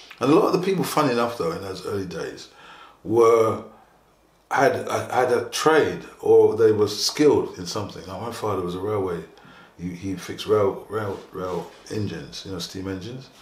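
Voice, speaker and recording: Amid audible room echo, a man with a fairly low pitch talks at a moderate pace, his intonation lively and his loudness swinging widely. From England. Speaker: interviewee. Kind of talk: documentary interview. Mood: calm, reflective. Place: studio.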